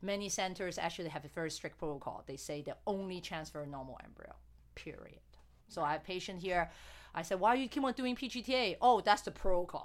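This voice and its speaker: In a very clean recording with a silent background, a woman with a plain, everyday voice speaks at a fairly quick pace in a medium pitch with lively intonation. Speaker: fertility doctor hosting a podcast. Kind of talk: casual interview chat.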